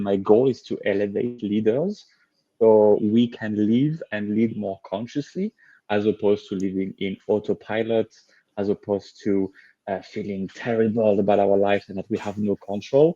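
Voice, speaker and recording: Over a quiet background, a man with a French accent speaks at a moderate pace in a fairly low, dark, mellow voice, with fairly even intonation and a dry, close sound with no echo. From France. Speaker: leadership coach. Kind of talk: interview.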